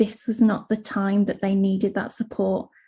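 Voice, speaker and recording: At a fairly high pitch, a woman speaks at a moderate pace in a dark, mellow, somewhat breathy tone. Her intonation is monotone and flat, against a quiet background. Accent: English. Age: 30s. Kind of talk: panel presentation.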